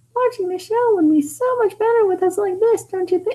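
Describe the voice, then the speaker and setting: A female-sounding put-on character voice speaks at a fairly quick pace and an extremely high pitch. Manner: flirtatious, sweet.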